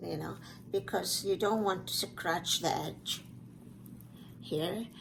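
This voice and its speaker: Amid audible room echo, a woman speaks with a non-native accent. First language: not English. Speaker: fluid art instructor. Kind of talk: tutorial. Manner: halting.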